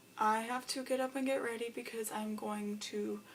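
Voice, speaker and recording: A woman's fairly high voice keeps a moderate pace and fairly even intonation while noticeable background noise continues behind her. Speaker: book vlogger. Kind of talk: vlog. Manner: casual, filler-heavy.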